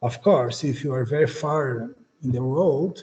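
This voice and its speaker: With a Portuguese accent, a man speaks at a moderate pace in a somewhat breathy, dark and mellow voice with lively intonation. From Brazil. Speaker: beamline scientist. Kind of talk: conference talk. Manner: halting.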